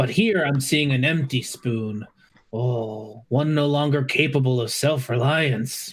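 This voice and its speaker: A man puts on a character voice at medium pitch. His pace is fairly slow. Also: ordinary pitch variation. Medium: actual play. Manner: theatrical, sighing "oh"s.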